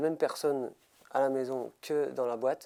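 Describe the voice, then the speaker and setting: The background is silent and the recording very clean. A man talks with a fairly high pitch. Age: 30s. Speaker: motivational speaker and mental coach. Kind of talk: interview. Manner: halting, many hesitations.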